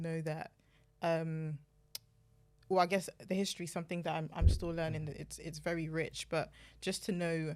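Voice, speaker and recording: With a British accent, a woman speaks at a moderate pace, fairly low in pitch with fairly even intonation, on a very clean recording with a silent background. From UK, Nigerian parents. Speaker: data and insights professional, panellist. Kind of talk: panel discussion.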